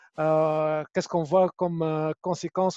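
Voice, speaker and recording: Recorded dry and close with no echo, a man with a fairly high pitch speaks at a moderate pace in a monotone, flat delivery. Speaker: webinar moderator. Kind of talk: panel moderation.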